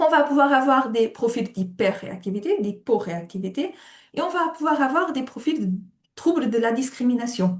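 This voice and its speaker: A woman's high-pitched voice at a moderate pace, full of very wide pitch swings. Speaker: occupational therapist. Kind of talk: webinar lecture.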